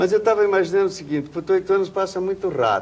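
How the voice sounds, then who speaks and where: The speaker is a man. His voice has a high pitch. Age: 60s. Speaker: journalist. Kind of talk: interview. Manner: casual, colloquial.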